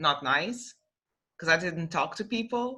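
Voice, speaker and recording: With a Portuguese accent and a bright, sharp tone, a woman speaks at a fairly slow pace on a very clean recording with a silent background. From Portugal. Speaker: young adult novelist. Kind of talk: casual interview chat.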